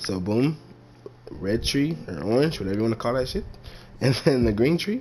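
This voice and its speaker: Pausing long and often, a man with a medium pitch speaks at a moderate pace while his pitch swings very widely. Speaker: gaming streamer. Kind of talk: game build tutorial. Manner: casual.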